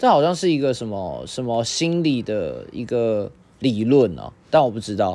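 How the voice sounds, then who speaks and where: In a Taiwanese accent, a man talks at a moderate pace with lively intonation and a medium pitch. His tone is dark and mellow, with big swings in loudness. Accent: Taiwanese Mandarin. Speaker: podcast co-host. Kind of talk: casual chat.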